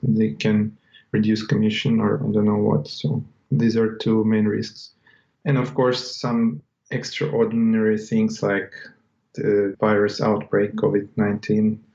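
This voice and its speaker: With a non-native accent, a man speaks at a moderate pace in a fairly low, dark, mellow tone, his pitch varying in an ordinary way. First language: not English. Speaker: website seller. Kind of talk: interview.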